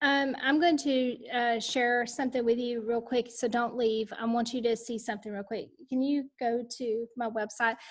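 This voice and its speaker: A woman talks in a high pitch with a Texan accent at a moderate pace. Her intonation stays fairly even, and she hardly pauses at all. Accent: Texas country. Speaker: education leadership coach. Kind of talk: online book study session. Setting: video call.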